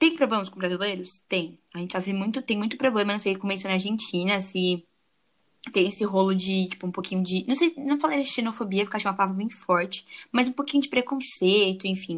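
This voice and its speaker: This woman has an unremarkable speaking voice, medium in pitch with ordinary pitch variation, moving at a fairly quick pace. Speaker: podcast host. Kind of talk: casual chat.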